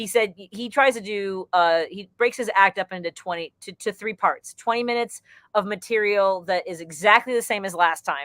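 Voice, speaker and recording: Barely pausing, a woman talks with ordinary pitch variation and big swings in loudness, in a dry, close sound with no echo. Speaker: stand-up comedian. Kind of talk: interview. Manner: fast; high energy.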